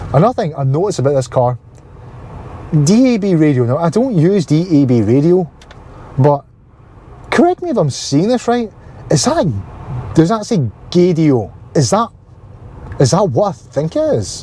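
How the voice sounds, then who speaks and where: Over noticeable background noise, a man with a Glasgow accent speaks in a high pitch with very wide pitch swings and long, frequent pauses. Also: moderate pace. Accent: Scottish (Glaswegian). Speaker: car vlogger. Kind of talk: casual vlog talk. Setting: in a car.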